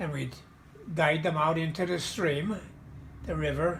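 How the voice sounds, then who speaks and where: A man with an American accent speaks at a fairly high pitch, with vocal fry and audible room echo. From Pennsylvania, Mahanoy City area. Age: 90s. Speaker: war veteran. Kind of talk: oral history interview. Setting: video call. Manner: halting.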